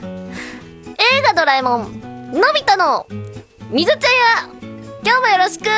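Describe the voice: Using a put-on character voice, a man speaks at an extremely high pitch and a moderate pace. Long, frequent pauses break up his lines while music plays clearly in the background.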